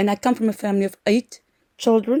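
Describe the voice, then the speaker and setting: A woman speaks with a non-native accent. Her tone is dark and mellow. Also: dry, close sound with no echo. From South Africa. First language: not English. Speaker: social work lecturer. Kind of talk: lecture. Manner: halting, many fillers.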